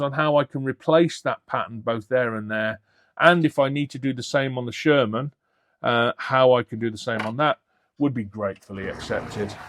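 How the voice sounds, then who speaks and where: On a very clean recording with a silent background, a man with a British accent has a dry, close sound with no echo. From Britain. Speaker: scale model hobbyist YouTuber. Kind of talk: unboxing video. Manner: halting.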